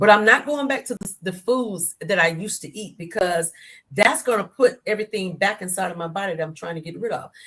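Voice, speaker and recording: In a normal speaking voice, the speaker moves at a fairly quick pace with lively intonation and big swings in loudness. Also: woman, medium pitch for a woman. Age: 60s. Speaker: author. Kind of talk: interview.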